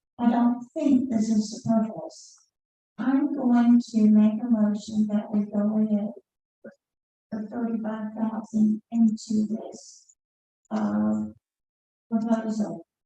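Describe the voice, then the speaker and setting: A somewhat breathy, dark, mellow tone at a very slow pace, with fairly even intonation, long, frequent pauses and big swings in loudness. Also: woman, fairly high pitch for a woman. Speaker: city commissioner chairing meeting. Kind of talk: public meeting discussion. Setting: city commission meeting.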